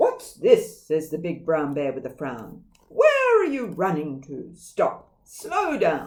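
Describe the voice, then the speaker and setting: Growling and gruff, a put-on character voice moves at a fairly slow pace with hardly any pauses. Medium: read story. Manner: growling, gruff.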